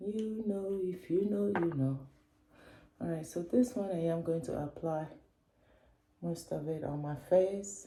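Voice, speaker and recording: A woman with a fairly low pitch and ordinary pitch variation speaks fairly slowly with long, frequent pauses, amid noticeable background noise and audible room echo. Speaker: beauty and lifestyle vlogger. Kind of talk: casual vlog chat, makeup tutorial. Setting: at home in her bathroom.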